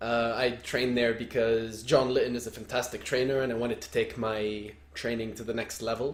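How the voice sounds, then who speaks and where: Over noticeable background noise, a man with a medium pitch talks at a fairly quick pace with hardly any pauses and a monotone, flat intonation. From Lebanon. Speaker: soccer coach, podcast co-host. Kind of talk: casual chat.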